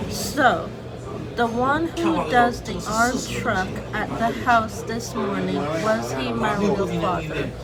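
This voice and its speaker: A woman of medium pitch at a very slow pace, with very wide pitch swings, audible room echo, and music in the background. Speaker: vlogger, law student. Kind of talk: casual vlog monologue. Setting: outdoors. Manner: quieter than usual.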